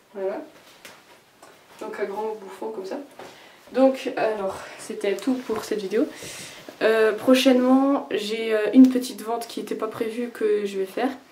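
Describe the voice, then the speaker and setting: A woman's fairly high voice at a fairly slow pace, fairly even intonation, big swings in loudness and long, frequent pauses, with audible room echo and noticeable background noise. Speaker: fashion creator showing handmade clothes. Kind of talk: casual video presentation. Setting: home bathroom. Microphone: poor sound, echo in bathroom.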